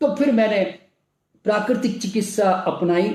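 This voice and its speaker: Pitch runs high for this man. It varies in an ordinary way. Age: 70s. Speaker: naturopathy doctor and health speaker. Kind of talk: motivational health talk. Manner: animated.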